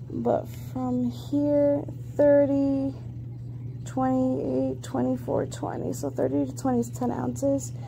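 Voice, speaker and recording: Noticeable background noise sits behind a woman's very deep, low voice. She talks very slowly with monotone, flat intonation. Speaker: vlogger documenting weight-loss surgery. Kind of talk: casual video diary. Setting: hospital room. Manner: casual with frequent filler ums.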